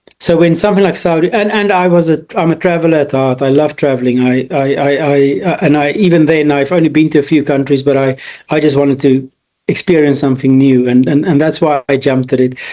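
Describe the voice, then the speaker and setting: A man with an Afrikaans South African accent talks at a fairly quick pace, his pitch fairly high with ordinary pitch variation. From rural South Africa. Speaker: business consultant. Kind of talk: interview. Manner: halting, many repeated words.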